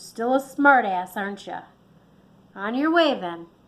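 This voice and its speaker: In a put-on character voice, a woman speaks with a gruff, fairly high pitch at a moderate pace. Her intonation is lively, and her loudness swings widely. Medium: read story. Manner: gruff, agitated.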